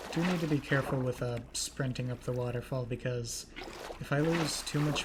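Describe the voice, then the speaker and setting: Noticeable background noise surrounds speech delivered at a fairly quick pace. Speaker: gaming youtuber. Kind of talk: gameplay commentary.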